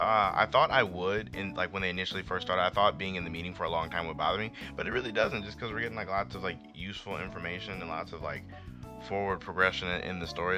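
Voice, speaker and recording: Over music in the background, a man talks very fast in a very deep, low voice. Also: ordinary pitch variation. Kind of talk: casual manga review talk to camera. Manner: upbeat, excited.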